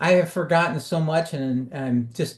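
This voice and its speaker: Over a quiet background, a man with a somewhat breathy voice speaks at a fairly slow pace with ordinary pitch variation. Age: 70s. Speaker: composer and arranger, channel host. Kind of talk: casual chat. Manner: halting, many fillers and repeated words.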